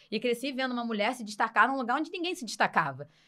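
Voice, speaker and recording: A very fast pace with a bright, sharp and animated tone. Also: woman. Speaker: radio presenter and journalist. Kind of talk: podcast interview.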